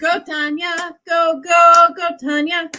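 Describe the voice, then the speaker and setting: This is a woman speaking. She is loud. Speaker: YA science fiction author and livestream host. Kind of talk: live stream chat with viewers. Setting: live stream. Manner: animated.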